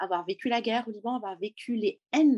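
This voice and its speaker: Dry and close with no echo, a woman's somewhat breathy, fairly high voice moves at a moderate pace with lively intonation. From Lebanon, Beirut. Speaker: education founder and former teacher. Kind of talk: interview testimony.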